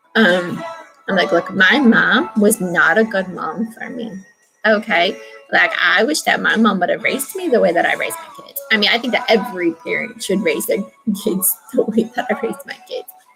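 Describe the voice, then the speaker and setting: A woman talks at a moderate pace in a fairly high voice, her intonation lively. Her loudness swings widely, with music playing behind her. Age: 30s. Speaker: video diarist. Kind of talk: personal vlog monologue. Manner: halting.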